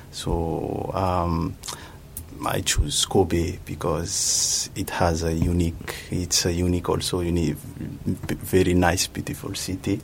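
Speaking very slowly in a very deep, low pitch, a man holds a monotone, flat intonation against noticeable background noise. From Madagascar. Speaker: master's student in IT. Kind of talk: radio interview. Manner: halting.

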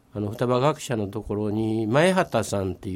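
Here a man speaks with a Kobe accent. His pitch is fairly low, with ordinary variation. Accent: Kansai (Kobe) dialect. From Nagata, Kobe, Japan. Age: 70s. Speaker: local community figure. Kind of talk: radio interview.

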